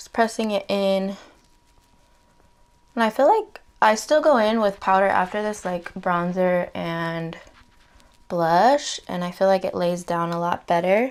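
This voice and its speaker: A woman speaks quietly at a fairly slow pace and medium pitch, with ordinary pitch variation, big swings in loudness, and long, frequent pauses. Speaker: beauty vlogger. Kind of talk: makeup tutorial. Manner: casual, chatty; trying to be quiet.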